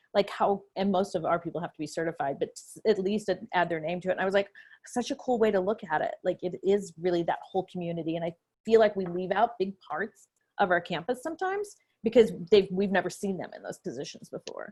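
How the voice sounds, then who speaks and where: A woman's medium-pitched voice at a very fast pace, with ordinary pitch variation and big swings in loudness. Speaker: student activities director. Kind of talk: panel discussion on video call. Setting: video call.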